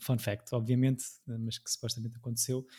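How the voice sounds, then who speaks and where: This man's voice has a dark, mellow tone. It comes across as somewhat breathy. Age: 30s. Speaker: podcast host. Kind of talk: casual chat.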